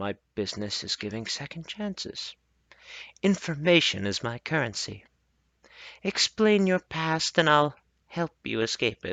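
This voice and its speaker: In a put-on character voice, a man speaks at a moderate pace with a raspy, fairly high pitch. His pitch swings very widely, and he takes long, frequent pauses. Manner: slow.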